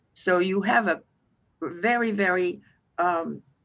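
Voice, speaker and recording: A woman speaks at medium pitch with a French Canadian accent. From Quebec, Montreal. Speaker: financial firm president. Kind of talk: interview. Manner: halting, with many fillers and restarts.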